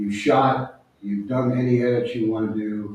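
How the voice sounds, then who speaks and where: With audible room echo, a man speaks at medium pitch and a moderate pace, his intonation fairly even. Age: 70s. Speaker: nature photographer and book author. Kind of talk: audience Q&A at a book talk. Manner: conversational, with hesitations and restarts.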